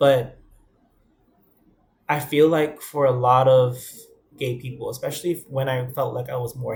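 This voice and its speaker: A somewhat breathy man with a New York accent, at a medium pitch and moderate pace. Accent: New York (Bronx). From New York, the Bronx. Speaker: vlogger. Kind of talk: personal vlog monologue.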